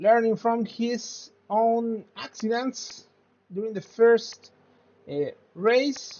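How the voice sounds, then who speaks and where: Very slow speech with long, frequent pauses, in a Spanish accent. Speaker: sim racing commentator. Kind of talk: live commentary. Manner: halting.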